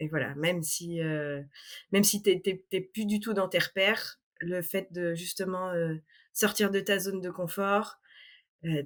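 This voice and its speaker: Very clean recording, silent background, with a woman speaking in a plain, everyday voice at a fairly low pitch. She keeps a fairly slow pace and fairly even intonation. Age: 30s. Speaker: travel planner. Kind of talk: interview.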